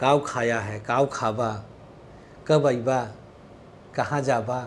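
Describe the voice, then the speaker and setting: A man is talking with ordinary pitch variation. Light background noise can be heard. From Awadh region, Uttar Pradesh (Faizabad/Ambedkar Nagar area); Uttar Pradesh, India. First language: Awadhi (speaking Hindi). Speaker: astrologer. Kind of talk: astrology tips to camera. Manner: casual, chatty. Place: studio. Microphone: lapel.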